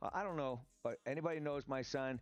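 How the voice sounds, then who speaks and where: Fairly quick speech from a man with ordinary pitch variation, music playing in the background. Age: 60s. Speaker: podcaster and gamer. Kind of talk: live stream commentary. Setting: live stream on camera. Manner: fast; animated.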